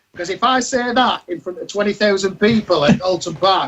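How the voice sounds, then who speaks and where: A man's pitch varies in an ordinary way as he speaks at a fairly quick pace. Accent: Yorkshire. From Yorkshire, northern England. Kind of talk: casual panel chat. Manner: animated.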